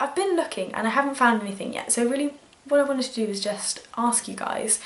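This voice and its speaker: A woman with a British accent talks very fast at a high pitch, with ordinary pitch variation and noticeable background noise. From UK. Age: 20s. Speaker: book vlogger. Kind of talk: casual vlog talk. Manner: hesitant, many fillers.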